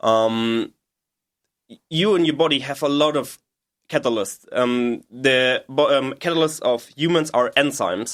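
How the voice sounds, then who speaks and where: Speaking with a German accent, a man has a fairly high pitch and ordinary pitch variation. His pace is fairly slow. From Germany, Bavaria (Munich suburbs). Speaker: PhD chemistry researcher. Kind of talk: interview explanation. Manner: halting, many fillers.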